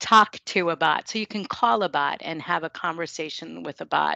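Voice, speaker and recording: A woman speaks at a moderate pace with a slight New York accent. The sound is dry and close, with no echo. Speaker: software company presenter. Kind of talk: product presentation.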